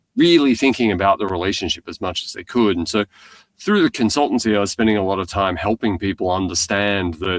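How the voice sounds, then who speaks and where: This man speaks with an Australian accent. His pitch sits fairly low. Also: dry, close sound with no echo. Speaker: tech company founder and CEO. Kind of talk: podcast interview.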